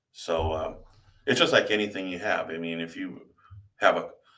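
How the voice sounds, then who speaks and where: A man with an Upper Midwest accent speaks at a moderate pace. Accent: Upper Midwest American. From Iowa. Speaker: teacher and tour boat captain. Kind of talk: interview. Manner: halting, many fillers.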